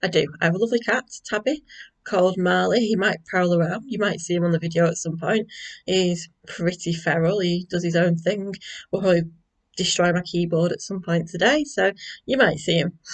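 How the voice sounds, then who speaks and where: This woman speaks with a Manchester accent at a fairly quick pace. Her pitch is fairly low, with ordinary variation. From northern England, North Manchester. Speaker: school librarian and craft vlogger. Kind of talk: casual vlog chat. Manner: hesitant, many fillers.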